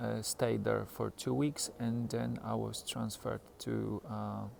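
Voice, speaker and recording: A man with a Polish accent talks at a very slow pace. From Poland. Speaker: stroke survivor. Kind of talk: personal video diary. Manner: halting; hesitant with self-corrections.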